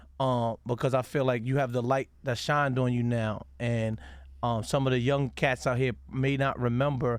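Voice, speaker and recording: A man's monotone, flat intonation on a very clean recording with a silent background. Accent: American. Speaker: radio DJ and interviewer. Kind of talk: casual interview. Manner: halting, many fillers.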